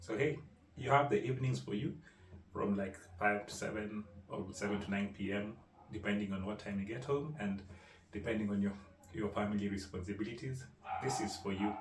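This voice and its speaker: A somewhat breathy man at a fairly low pitch with ordinary pitch variation, a fairly quick pace, long and frequent pauses, and audible room echo. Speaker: digital marketing consultant. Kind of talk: tutorial. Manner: animated.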